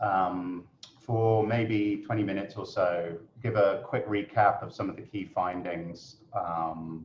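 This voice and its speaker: A man with a British accent talks at a fairly low pitch with ordinary pitch variation. Noticeable background noise sits behind him. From UK. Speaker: consultant and webinar moderator. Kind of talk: webinar presentation. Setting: video webinar from office. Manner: hesitant, many fillers.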